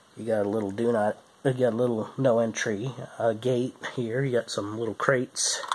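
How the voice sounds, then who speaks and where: Medium-pitched, moderate-paced male speech amid noticeable background noise. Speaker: toy reviewer. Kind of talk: product review. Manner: hesitant with fillers.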